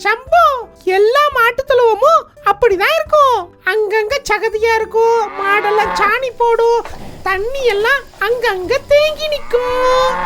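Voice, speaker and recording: A cartoonish character voice at an extremely high pitch drawls along at a very slow pace. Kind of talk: kids puppet show dialogue, Bible storytelling.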